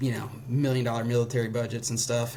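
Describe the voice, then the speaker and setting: This man has a medium pitch and a somewhat breathy voice. He talks at a fairly quick pace. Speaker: ski gear startup co-founder. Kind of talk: casual interview. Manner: fast; casual, filler-heavy.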